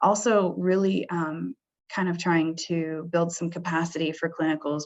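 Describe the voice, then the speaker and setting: In an ordinary speaking voice, a woman with a fairly low pitch speaks at a fairly slow pace with ordinary pitch variation. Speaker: senior director for healthcare programs. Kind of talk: webinar presentation. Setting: webinar.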